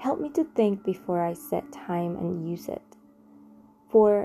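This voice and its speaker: A calm, somewhat breathy woman's voice at a fairly slow pace. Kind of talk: guided meditation. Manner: slow, calm, prayerful; soft-spoken, reverent.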